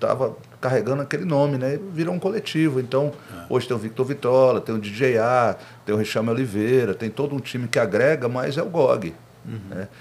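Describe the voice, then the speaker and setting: At a moderate pace, a man with a normal speaking voice uses lively intonation at a medium pitch. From Brasília, Federal District, Brazil. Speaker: rapper and podcast host. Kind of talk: casual interview chat.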